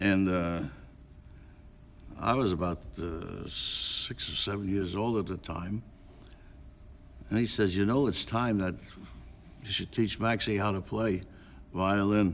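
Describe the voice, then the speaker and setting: With a New York accent, the speaker goes at a fairly slow pace, leaving long, frequent pauses. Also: man, fairly low pitch for a man, ordinary pitch variation. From New York City, Lower East Side. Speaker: klezmer musician. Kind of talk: interview reminiscence.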